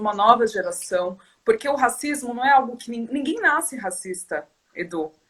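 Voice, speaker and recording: A woman with a normal speaking voice, pitched fairly high, talks at a moderate pace and varies her pitch in an ordinary way. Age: 30s. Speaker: activist guest. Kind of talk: casual chat.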